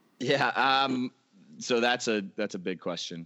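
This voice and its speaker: A man speaks in an American accent at a medium pitch and a moderate pace. He has an ordinary speaking voice. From Florida (Orlando). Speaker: sports fan-experience consultant. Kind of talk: podcast interview.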